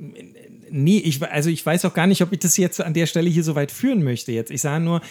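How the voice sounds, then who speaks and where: Ordinary pitch variation and a fairly quick delivery from a man. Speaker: podcast co-host, cancer patient. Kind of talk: casual chat. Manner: halting.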